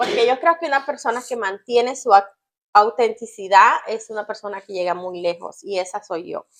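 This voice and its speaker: Speaking at a moderate pace, a woman uses a fairly high voice with lively intonation and big swings in loudness. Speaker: channel co-host. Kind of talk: casual chat. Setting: home kitchen.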